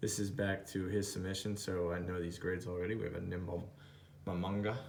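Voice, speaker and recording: Over light background noise, a man with a fairly low pitch talks at a fairly quick pace. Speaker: YouTube card collector. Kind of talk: card unboxing commentary. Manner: mumbling to himself; excited, exclaiming. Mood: excited, pleased. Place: home room. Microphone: phone near.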